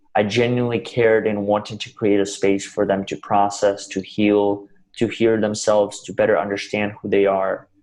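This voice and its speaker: Speaking in a Russian accent with hardly any pauses, a man keeps a moderate pace, a fairly low pitch and a monotone, flat intonation. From Russia, then US from age 12. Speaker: motivational speaker. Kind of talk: interview.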